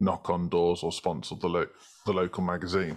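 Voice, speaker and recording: A man speaks in a British accent with a very deep, low pitch. His pace is moderate, and the background is quiet. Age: 30s. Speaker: marketing agency co-founder. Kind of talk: interview.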